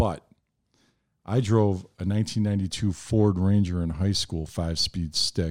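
In an American accent, a man with a plain, everyday voice talks at a moderate pace and fairly low pitch, his intonation fairly even. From Chicago South Side. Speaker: brewery owner. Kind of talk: casual chat.

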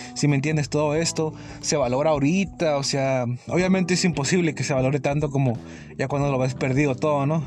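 Over music in the background, a man talks at a fairly quick pace. His intonation is fairly even and his loudness very even. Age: 20s. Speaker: podcaster. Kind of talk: casual monologue. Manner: halting, repetitive.

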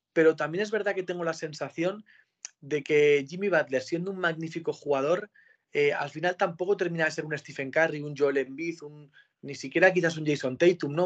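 A man with an unremarkable speaking voice, fairly high pitch, moderate pace and ordinary pitch variation. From Spain, Pamplona (Navarre). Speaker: sports broadcaster. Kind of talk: interview. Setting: video call from home.

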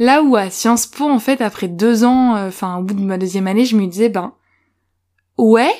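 A woman talks at a fairly slow pace in a fairly high pitch with a dark, mellow tone. The recording is very clean, with a silent background. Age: 20s. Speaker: podcast co-host. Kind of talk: interview. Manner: hesitant.

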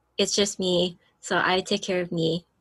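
With an American accent and a normal speaking voice, a woman at a medium pitch talks with fairly even intonation in a dry, close sound with no echo. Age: 20s. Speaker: podcast co-host. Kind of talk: casual chat.

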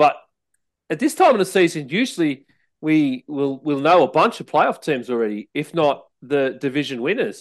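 Over a quiet background, a man with an Australian accent speaks at a fairly high pitch with lively intonation. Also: moderate pace. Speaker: podcast host. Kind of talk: casual sports chat. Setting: studio.

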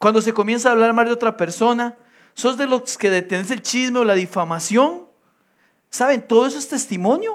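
Speaking in a Costa Rican accent, a man with an extremely high pitch talks at a fairly quick pace in an animated tone with ordinary pitch variation, on a very clean recording with a silent background. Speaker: pastor. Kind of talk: sermon.

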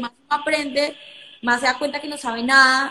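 Through noticeable background noise, a woman's high-pitched voice is raised and projected, with ordinary pitch variation. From Colombia. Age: 20s. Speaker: lawyer and entrepreneur. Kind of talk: live stream conversation.

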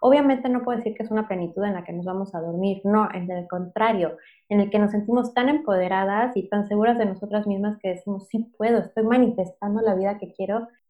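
A woman talks very fast at a medium pitch with hardly any pauses. Her intonation stays fairly even. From Mexico City. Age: 30s. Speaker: podcast co-host, entrepreneur. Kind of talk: casual chat.

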